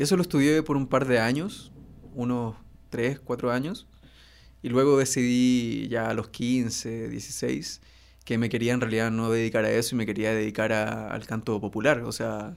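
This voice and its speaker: At a fairly slow pace, a man speaks with a medium pitch and ordinary pitch variation in a very clean recording with a silent background. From northern Chile (Iquique). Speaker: singer-songwriter. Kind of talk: casual chat. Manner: halting.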